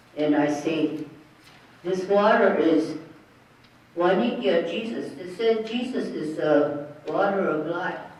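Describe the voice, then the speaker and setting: Spoken at a very slow pace, the voice comes through over noticeable background noise. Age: 80s+. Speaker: elder. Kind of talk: spiritual talk to an audience.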